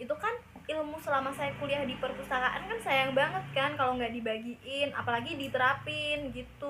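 Her pitch high, a woman speaks at a moderate pace with ordinary pitch variation and a fairly bright tone.

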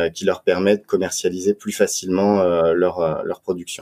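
A moderate pace in a dry, close sound with no echo, on a very clean recording with a silent background. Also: man. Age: 30s. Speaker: wine marketing director. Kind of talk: podcast interview.

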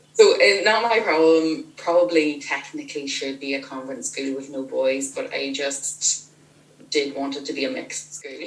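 A woman's voice with big swings in loudness, over noticeable background noise. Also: moderate pace. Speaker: author of novels. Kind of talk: casual interview.

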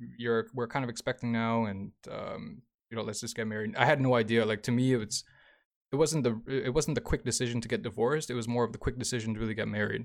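At a very fast pace, a man with a medium pitch talks with fairly even intonation. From Canada, Toronto. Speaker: DJ, podcaster and single dad. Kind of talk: casual chat. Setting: podcast interview.

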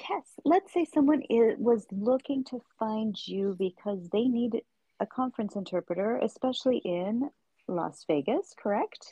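A woman with an American accent and a normal speaking voice talks at a fairly slow pace, her fairly high pitch carrying lively intonation. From United States. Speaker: podcast host and interpreter. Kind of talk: interview.

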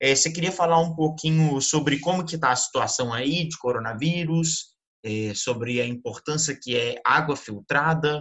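At a moderate pace and with hardly any pauses, a man with an unremarkable speaking voice talks at a fairly high pitch with ordinary pitch variation. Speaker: podcast host. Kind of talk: interview.

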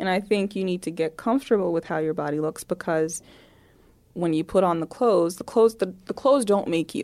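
The woman's tone is dark and mellow. She moves along at a fairly quick pace. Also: medium pitch for a woman, ordinary pitch variation, very clean recording, silent background. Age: 20s. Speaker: publicist and talent manager. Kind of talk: casual chat.

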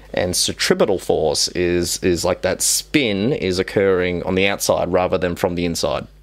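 A man at a moderate pace with hardly any pauses, over noticeable background noise. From Western Sydney, Australia. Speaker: sci-fi enthusiast and short filmmaker. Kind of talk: casual chat. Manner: animated.

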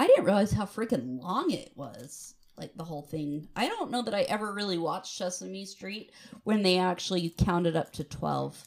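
A woman speaks with an American accent at medium pitch and a moderate pace. Her intonation is lively, her loudness swings widely, and vocal fry comes through. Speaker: podcast co-host. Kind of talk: casual chat. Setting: hotel room. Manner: animated.

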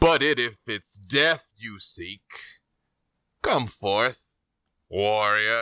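A man's put-on character voice at a medium pitch, at a very slow pace with long, frequent pauses. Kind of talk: grim fantasy villain. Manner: cold, contemptuous, menacing.

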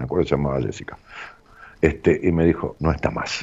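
A man's dark, mellow voice with vocal fry, in a Rioplatense accent. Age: 60s. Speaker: radio host. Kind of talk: casual radio talk with listener call-ins. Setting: radio studio. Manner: hesitant, fillers and repetitions.

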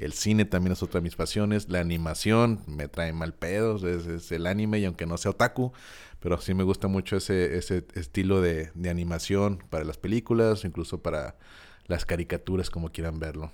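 Over a silent background in a very clean recording, a man speaks at a moderate pace in a very deep, low pitch with ordinary pitch variation. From Mexico, Guadalajara. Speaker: podcast co-host, teacher. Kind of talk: casual chat.

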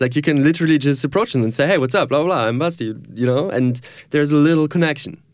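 A man talks very fast with a German accent and a fairly high pitch, his loudness very even and his pitch variation ordinary. The recording is very clean, with a silent background. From Germany, near Düsseldorf. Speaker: filmmaker and photographer. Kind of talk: interview. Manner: laughs often.

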